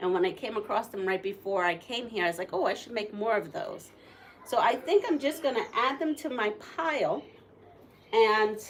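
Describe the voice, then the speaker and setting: Amid noticeable background noise, a woman with a Puerto Rican accent speaks at a moderate pace in a fairly high pitch and lively intonation. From Puerto Rico. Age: 60s. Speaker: quilter. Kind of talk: live stream tutorial. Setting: live stream. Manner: casual, chatty.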